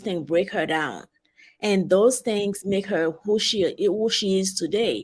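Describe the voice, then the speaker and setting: A woman with a strong Haitian accent speaks at a fairly slow pace and medium pitch on a very clean recording with a silent background. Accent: heavy Haitian. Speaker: travel advisor, guest. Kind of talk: interview.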